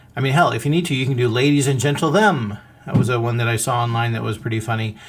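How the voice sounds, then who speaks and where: The man talks at a very fast pace in a medium pitch. Background noise is noticeable throughout. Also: ordinary pitch variation. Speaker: podcast host. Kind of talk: podcast monologue. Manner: animated.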